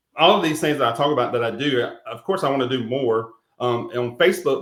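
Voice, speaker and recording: Talking at a fairly quick pace, a man has a slight Carolina accent. His pitch varies in an ordinary way. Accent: slight Carolina Southern. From South Carolina, Rock Hill. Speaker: real estate agent, veteran. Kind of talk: interview. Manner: halting, many fillers.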